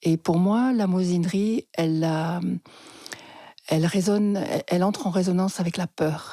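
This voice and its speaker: A woman speaks in a fairly low, dark, mellow tone with fairly even intonation and big swings in loudness. Her pace is fairly slow with long, frequent pauses, and the sound is dry and close with no echo. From France (Lozère), partly Switzerland. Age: 60s. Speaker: psychotherapist. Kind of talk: interview storytelling.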